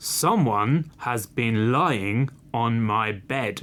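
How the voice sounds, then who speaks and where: In a booming, put-on character voice, a man speaks very slowly at a medium pitch with ordinary pitch variation. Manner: gruff, storytelling.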